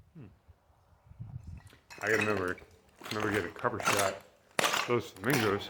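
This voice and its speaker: The speech comes at a very fast pace yet with long, frequent pauses and fairly even intonation. Loudness swings a lot, over noticeable background noise. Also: man, fairly low pitch for a man. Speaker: travel vlogger. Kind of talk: casual vlog narration. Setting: outdoors.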